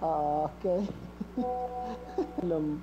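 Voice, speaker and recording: Noticeable background noise sits behind the audio. The speaker is a man whose pitch runs high. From Sudan. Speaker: prank target. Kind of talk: phone conversation. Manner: halting.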